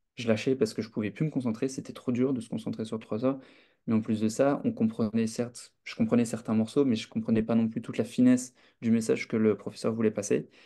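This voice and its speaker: Talking at a very fast pace, a man with a medium pitch and a dark, mellow tone keeps his intonation fairly even. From France. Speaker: student association representative. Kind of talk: online talk answering questions. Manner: hesitant, many fillers.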